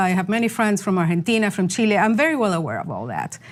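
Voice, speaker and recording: A woman with a Spanish accent and ordinary pitch variation. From Venezuela. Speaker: journalist. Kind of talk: interview. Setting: studio.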